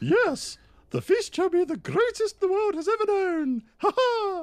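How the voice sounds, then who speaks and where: A voice at an extremely high pitch, speaking at a moderate pace. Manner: rousing battle speech.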